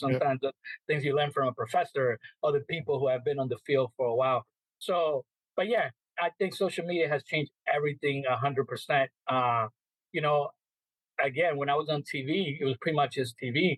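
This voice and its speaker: Somewhat breathy, the voice carries a Spanish accent and ordinary pitch variation. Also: man, fairly high pitch for a man, fairly quick pace, dry, close sound with no echo. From El Salvador. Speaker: sports reporter and media relations manager. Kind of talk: interview answer. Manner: casual.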